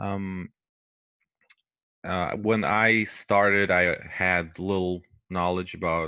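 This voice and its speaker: Against a quiet background, a man speaks with a very deep, low pitch, a bright, sharp tone and fairly even intonation. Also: dry sound with no echo. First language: not English. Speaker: QA teacher. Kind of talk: lecture. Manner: hesitant, many fillers. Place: home room. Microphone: headset.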